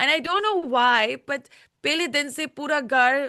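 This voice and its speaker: A woman with a bright, sharp tone and ordinary pitch variation speaks over a quiet background. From United Kingdom. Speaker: reality show contestant. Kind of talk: interview. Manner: halting.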